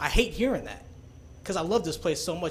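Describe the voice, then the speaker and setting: This man talks in an American accent, his pitch varying in an ordinary way. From Kansas, US. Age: 20s. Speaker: college student, public commenter. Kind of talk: public comment. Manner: impassioned.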